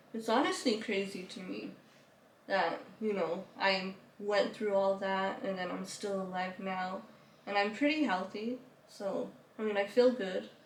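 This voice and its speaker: A woman's medium-pitched voice, fairly slow and fairly even in intonation, with long, frequent pauses, audible room echo and noticeable background noise. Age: 20s. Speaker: YouTuber telling her life story. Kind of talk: interview, personal story.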